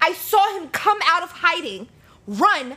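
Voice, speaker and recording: A woman's raised, projected voice at a very slow pace over noticeable background noise. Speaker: podcast guest. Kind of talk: casual chat.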